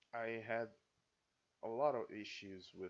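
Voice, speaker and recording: A man is speaking. He has a non-native accent. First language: not English. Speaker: reaction video creator. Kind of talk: casual reaction commentary. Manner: halting, with frequent repetitions. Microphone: poor sound quality.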